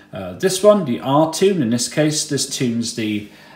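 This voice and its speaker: A man speaking at a fairly slow pace, with audible room echo. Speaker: radio hobbyist. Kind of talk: tutorial. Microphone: phone near.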